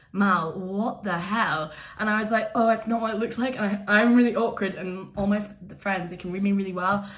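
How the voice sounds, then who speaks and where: A woman with an Edinburgh accent sounds animated, talking at a fairly quick pace and medium pitch with ordinary pitch variation. Room echo is audible. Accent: Scottish (Edinburgh). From Scotland, Edinburgh. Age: 20s. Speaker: YouTuber, reality TV contestant. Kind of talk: casual vlog chat. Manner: loud, animated.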